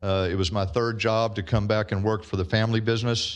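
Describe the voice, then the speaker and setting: Over a quiet background, a man with a Texan accent talks at a fairly quick pace, with a fairly low pitch and fairly even intonation. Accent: Texas Southern. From Texas. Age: 60s. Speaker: landowner speaking at public hearing. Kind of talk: public comment at council meeting.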